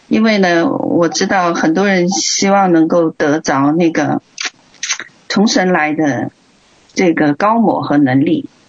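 A woman with a Chinese accent, a fairly low pitch for a woman, very wide pitch swings and very even loudness, over noticeable background noise. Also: fairly slow pace. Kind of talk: church exhortation. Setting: livestreamed online meeting. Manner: halting.

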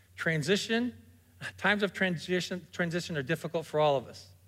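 Using ordinary pitch variation, a man talks at a moderate pace in a high pitch. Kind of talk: sermon. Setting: church stage with congregation.

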